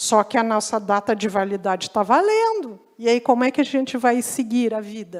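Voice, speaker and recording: A woman with a fairly high pitch uses a normal speaking voice at a moderate pace. Her intonation stays fairly even, with hardly any pauses. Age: 60s. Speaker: lecturer on healthy aging. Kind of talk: lecture.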